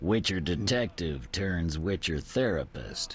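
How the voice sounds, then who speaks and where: A man puts on a character voice with a very deep, low pitch at a fairly slow pace. Clear background noise can be heard. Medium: video game.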